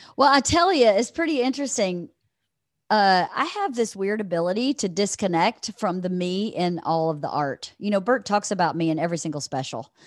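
Speaking at a fairly quick pace, a woman with a medium pitch makes very wide pitch swings against a quiet background. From Georgia, US South. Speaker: comedian's wife, podcast guest. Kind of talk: casual interview chat.

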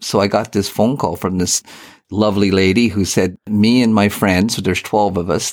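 In a Canadian accent, a man speaks in a normal speaking voice at a moderate pace, fairly low in pitch with fairly even intonation, on a very clean recording with a silent background. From Eastern Ontario, Canada. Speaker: retired newspaper editor and fly fisher. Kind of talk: interview.

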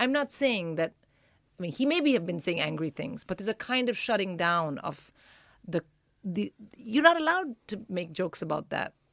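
Fairly quick female speech with very wide pitch swings, long and frequent pauses, and a dry, close sound with no echo. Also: medium pitch for a woman. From Philippines and India. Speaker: comedian. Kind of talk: casual chat.

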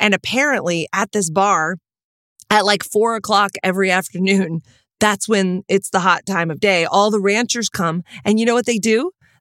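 In an American accent, a woman with an ordinary speaking voice talks at a moderate pace, medium in pitch with ordinary variation. The recording is very clean, with a silent background and a dry, close sound with no echo. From Texas. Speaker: podcast co-host. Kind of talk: casual chat.

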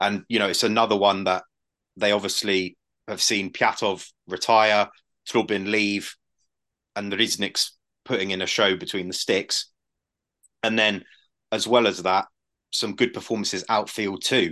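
Against a quiet background, a man with a fairly low pitch and a bright, sharp tone speaks in a monotone, flat way at a moderate pace, leaving long, frequent pauses. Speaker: football podcast co-host. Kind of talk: casual chat.

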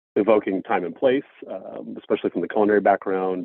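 A man speaks at a fairly quick pace. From Washington DC area, US. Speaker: brewery founder. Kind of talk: casual interview.

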